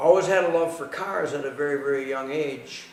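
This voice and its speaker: A man with an Upper Midwest US accent and fairly high pitch at a moderate pace, with noticeable background noise and audible room echo. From Southeast Wisconsin. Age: 60s. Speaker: hot rod shop owner, former racer. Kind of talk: interview monologue. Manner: halting, with repetitions.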